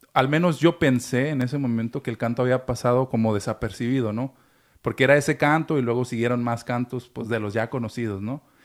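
A man's plain, everyday voice, medium in pitch, with fairly even intonation and a fairly quick pace, in a very clean recording with a silent background. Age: 30s. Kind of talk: casual chat.

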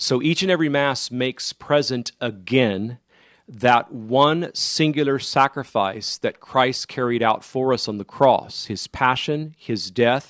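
A man with an unremarkable speaking voice, medium in pitch with ordinary pitch variation, at a fairly slow pace, dry and close with no echo. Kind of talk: call-in radio show. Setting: studio.

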